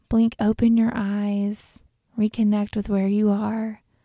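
A woman speaks very slowly in a fairly high, somewhat breathy voice with a dark, mellow tone and flat, monotone intonation. Her soothing, calm tone comes through a dry, close sound with no echo on a very clean recording with a silent background. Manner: slow, soft, soothing and calm, with long pauses between gentle instructions.

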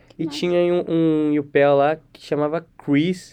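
Speech comes at a very slow pace, with a dark, mellow tone. The intonation stays monotone and flat. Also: man. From Brazil. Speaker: university student. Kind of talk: casual interview chat.

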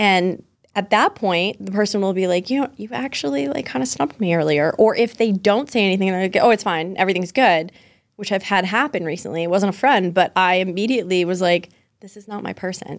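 Here a woman talks with an American accent at a fairly quick pace. Her loudness swings widely. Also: medium pitch for a woman, ordinary pitch variation. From Massachusetts, US. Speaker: business coach. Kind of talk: casual interview chat. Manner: warm, comforting tone.

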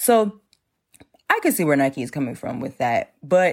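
A woman's animated voice at a moderate pace on a very clean recording with a silent background. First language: not English. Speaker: fashion law podcast host. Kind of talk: solo podcast explainer. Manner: animated, laughing.

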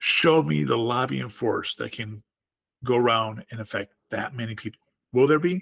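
A man of medium pitch swings very widely in tone, recorded with a dry, close sound and no echo. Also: moderate pace. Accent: American. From rural southwest Wisconsin, US. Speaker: author and political activist, Air Force veteran. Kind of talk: interview about politics.

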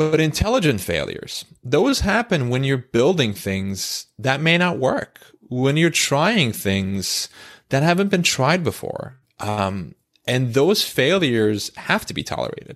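Pitch swings very widely as this fairly slow speaker talks over a silent background in a very clean recording. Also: man, fairly high pitch for a man. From Turkey. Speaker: author and former rocket scientist. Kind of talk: casual interview chat.

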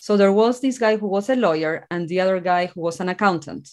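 Against a quiet background, a woman with an Argentine accent speaks at a medium pitch with lively intonation. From Argentina, rural town. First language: Spanish. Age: 40s. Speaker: author and mindset coach. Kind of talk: interview.

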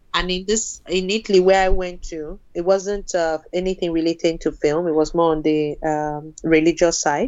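A woman speaks in a plain, everyday voice, fairly low in pitch, at a moderate pace. Her intonation is fairly even, with hardly any pauses. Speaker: film producer. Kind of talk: casual interview conversation.

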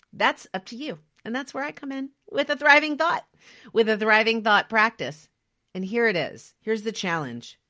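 With an American accent and a bright, sharp tone, the speaker goes at a moderate pace with big swings in loudness. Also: woman, fairly high pitch for a woman. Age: 40s. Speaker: podcast host. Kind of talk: motivational monologue.

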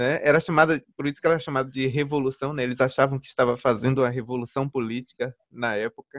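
This man has a normal speaking voice at medium pitch, talking at a fairly quick pace with fairly even intonation in a dry, close sound with no echo. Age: 20s. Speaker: music podcast host. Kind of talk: casual chat.

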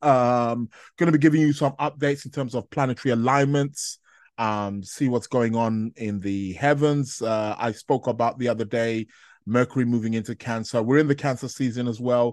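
Against a quiet background, a man with an ordinary speaking voice talks at a medium pitch and moderate pace with fairly even intonation. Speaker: astrology podcaster. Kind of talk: solo podcast monologue on astrology. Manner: rambling, casual, laughs often.

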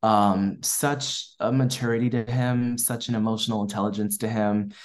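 In an American accent, a man speaks at a moderate pace with fairly even intonation and a fairly low pitch. His is a plain, everyday voice, set against a quiet background. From US East Coast, Maryland. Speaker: filmmaker. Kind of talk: interview.

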